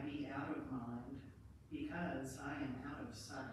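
In a room with strong echo and light background noise, a woman speaks very slowly at a very deep, low pitch. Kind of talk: eulogy. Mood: gentle, solemn. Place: church. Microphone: camera far.

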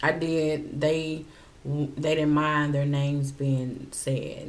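This woman's voice is very deep and low. She talks at a very slow pace. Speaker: mukbang vlogger. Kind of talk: casual vlog chat. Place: home room.

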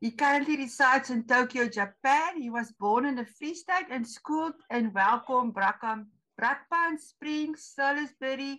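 At a fairly slow pace, a woman projects a raised voice with a bright, sharp tone and a high pitch. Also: ordinary pitch variation, quiet background. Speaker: society event host. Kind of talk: speaker introduction. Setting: video call. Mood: light, informal. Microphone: video call.

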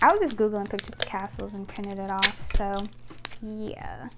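Over noticeable background noise, a woman talks at a fairly quick pace with lively intonation. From United States. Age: 20s. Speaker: YouTuber. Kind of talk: casual vlog talking to camera. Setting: at home with a microphone. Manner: rambling, chatty. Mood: relaxed, dreamy, enthusiastic. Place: home room.

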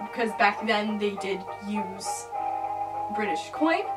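Clear music sounds in the background. A woman talks over it. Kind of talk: casual tutorial vlog. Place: home room. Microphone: camera far.

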